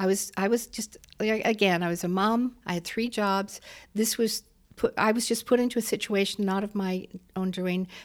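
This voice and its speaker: On a very clean recording with a silent background, a woman with a Canadian accent and an unremarkable speaking voice talks at a moderate pace and medium pitch, her intonation fairly even. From Waterloo, Ontario, Canada. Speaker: former mayor. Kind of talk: interview conversation.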